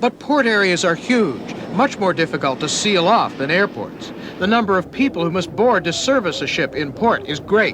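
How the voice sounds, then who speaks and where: A man with a high pitch swings very widely in pitch at a moderate pace, with hardly any pauses. Noticeable background noise sits behind him. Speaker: TV news reporter. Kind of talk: TV news report narration.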